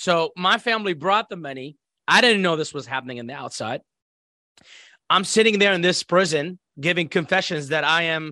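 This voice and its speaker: Against a quiet background, a man with an Iraqi accent speaks in a high pitch with a bright, sharp tone and ordinary pitch variation, the sound dry and close with no echo. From Iraq (Baghdad). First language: Arabic. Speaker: former military interpreter and intelligence operative. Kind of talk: life story interview. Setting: video call.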